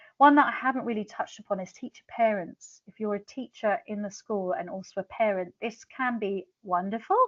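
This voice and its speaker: A woman's fairly high voice at a fairly quick pace, hardly any pauses, ordinary pitch variation, and big swings in loudness. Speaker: international teacher and author. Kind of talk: webinar presentation. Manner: fast.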